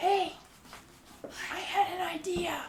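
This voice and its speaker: High as it can go, an extremely high-pitched put-on character voice. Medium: actual play. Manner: earnest, eager.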